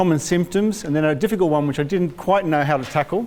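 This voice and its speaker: A man's voice with ordinary pitch variation. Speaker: hepatology doctor. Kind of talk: medical talk to patient group. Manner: soft-spoken.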